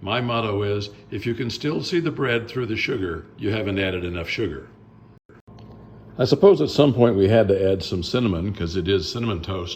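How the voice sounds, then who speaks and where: Somewhat breathy, a man speaks at a moderate pace and a fairly low pitch with ordinary pitch variation. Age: 70s. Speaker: blues musician making a cooking video. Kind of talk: cooking tutorial. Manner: casual, jokey asides.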